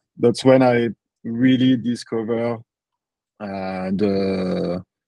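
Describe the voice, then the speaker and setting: Against a quiet background, a man with a strong French accent talks at a medium pitch with fairly even intonation. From France (Paris). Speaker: property entrepreneur. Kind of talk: podcast interview. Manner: halting, many fillers.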